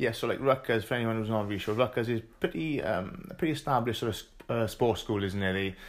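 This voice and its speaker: In a very clean recording with a silent background, a man has an unremarkable speaking voice at medium pitch with lively intonation. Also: fairly quick pace. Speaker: podcast host. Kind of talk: casual interview chat.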